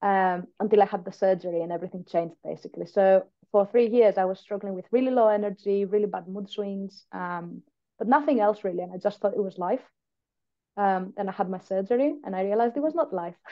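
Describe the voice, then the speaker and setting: Very fast speech carries ordinary pitch variation. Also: woman, medium pitch for a woman. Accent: Greek. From Greece. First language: Greek. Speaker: patient and biomedical scientist. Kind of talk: podcast interview.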